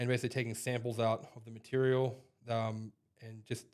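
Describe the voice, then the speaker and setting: A man with an American accent talks at a fairly quick pace. His pitch is medium and his intonation monotone and flat. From Australia, then western US from age 14. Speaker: equipment trainer. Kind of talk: podcast interview. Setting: company head office, in person.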